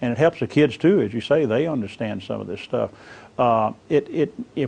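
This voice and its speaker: An ordinary speaking voice moves at a fairly quick pace. Its pitch varies in an ordinary way. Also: man. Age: 60s. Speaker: interviewed expert on internet safety. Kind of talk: interview.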